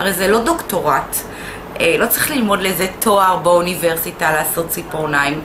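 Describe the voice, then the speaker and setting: A woman is speaking. Noticeable background noise runs beneath her voice. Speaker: instructor. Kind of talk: casual vlog chat. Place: shop. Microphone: camera far.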